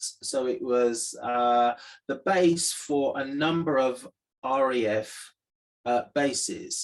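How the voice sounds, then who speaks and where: A man at a very slow pace, medium pitch and ordinary pitch variation. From Lincolnshire, England. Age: 60s. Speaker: retired police superintendent. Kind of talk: personal storytelling monologue. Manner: hesitant, frequent 'um' fillers.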